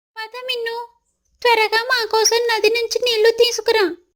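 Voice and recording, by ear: This woman uses a cartoonish character voice at an extremely high pitch. Her intonation is monotone and flat, and her pace is moderate.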